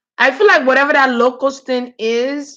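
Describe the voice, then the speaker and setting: A woman with a Nigerian accent speaks in an animated, bright, sharp tone. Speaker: spiritual reader on a livestream. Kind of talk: live stream chat with viewers. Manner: casual, animated.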